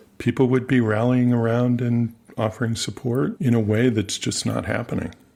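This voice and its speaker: A man talks at a moderate pace with medium pitch and fairly even intonation. He has an ordinary speaking voice. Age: 60s. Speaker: podcast host. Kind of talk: interview conversation.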